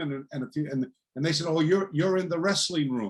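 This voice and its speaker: A man has an unremarkable speaking voice, fairly high in pitch with ordinary pitch variation. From eastern Canada, New Brunswick. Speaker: martial arts teacher. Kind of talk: interview storytelling.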